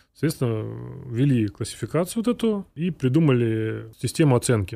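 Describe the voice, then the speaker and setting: A very clean recording with a silent background carries a voice of dark, mellow tone. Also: man. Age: 30s. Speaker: coffee roasting company director. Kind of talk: interview.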